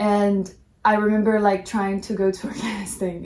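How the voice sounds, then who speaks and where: A somewhat breathy woman's voice, fairly high in pitch, with a Portuguese accent. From Brazil, Midwest. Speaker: fashion model. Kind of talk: casual chat.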